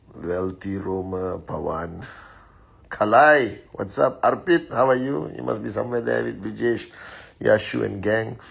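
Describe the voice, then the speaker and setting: His pitch rises and falls over a very wide range. The man speaks rather slowly. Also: fairly low pitch for a man. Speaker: network marketing leader. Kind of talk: live stream greetings and motivational talk. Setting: Instagram live at home. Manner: lowered voice, quieter than usual; usually loud.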